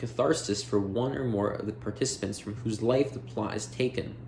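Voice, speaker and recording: A man with an unremarkable speaking voice talks at a moderate pace, medium in pitch, with fairly even intonation. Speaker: audiobook reader. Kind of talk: reading aloud.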